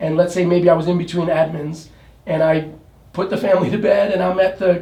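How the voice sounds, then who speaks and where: Over noticeable background noise and audible room echo, a man with a high pitch speaks at a fairly quick pace in a flat monotone. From New York City. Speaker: real estate agent. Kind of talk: interview. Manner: halting.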